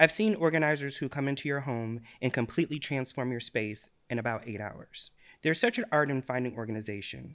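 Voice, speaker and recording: On a very clean recording with a silent background, a man talks at a fairly quick pace in a normal speaking voice of medium pitch with ordinary pitch variation. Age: 40s. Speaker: patient living with depression. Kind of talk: casual interview.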